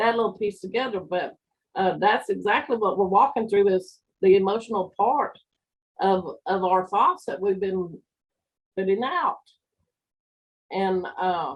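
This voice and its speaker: The speaker talks at a fairly slow pace, with ordinary pitch variation. Long pauses come often. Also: woman. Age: 60s. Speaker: spiritual teacher. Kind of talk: spiritual talk. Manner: halting.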